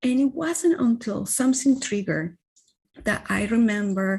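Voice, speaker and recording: Moderate pacing and a somewhat breathy quality in a woman's speech. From Venezuela. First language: Spanish. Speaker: wellness coach. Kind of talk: interview.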